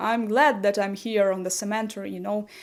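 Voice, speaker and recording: In a strong Slavic accent, a woman speaks at a fairly high pitch with fairly even intonation. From Ukraine. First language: Ukrainian. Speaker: YouTuber. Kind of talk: casual vlog talk. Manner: halting, with fillers.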